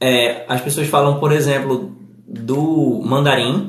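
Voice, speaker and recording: This man's fairly high voice carries vocal fry and ordinary pitch variation. He talks at a very slow pace, and audible room echo surrounds him. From Northeast Brazil. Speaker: English teacher. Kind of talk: live stream chat. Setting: live stream. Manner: aiming for neutral journalistic diction.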